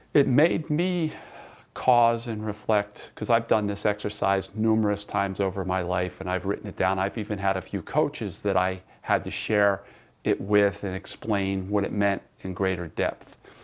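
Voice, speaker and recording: A man with an ordinary speaking voice and fairly low pitch talks at a moderate pace with ordinary pitch variation. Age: 60s. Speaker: sports psychology coach and teacher. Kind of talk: recorded online class lecture. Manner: conversational, with repetitions and restarts.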